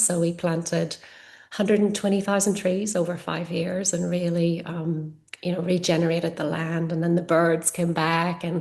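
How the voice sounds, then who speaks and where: A woman's fairly low voice with an Irish accent, fairly even intonation and a moderate pace. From Ireland. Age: 40s. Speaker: yoga teacher and energy healer. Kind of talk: casual interview chat.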